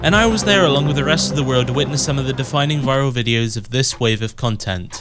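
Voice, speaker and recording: A man's medium-pitched voice at a very fast pace, with lively intonation, hardly any pauses, and noticeable background noise. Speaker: video essayist. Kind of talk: video essay narration.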